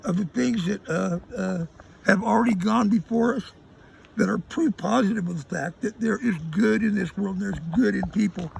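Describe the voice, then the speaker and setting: This man talks at a high pitch with lively intonation at a moderate tempo, and noticeable background noise sits behind him. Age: 70s. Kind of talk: interview answer. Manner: hesitant, rambling.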